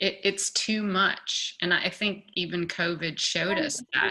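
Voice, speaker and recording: Speaking at a very slow pace, a woman has a bright, sharp tone. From US South (Little Rock, Arkansas). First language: German. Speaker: artist. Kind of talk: casual chat.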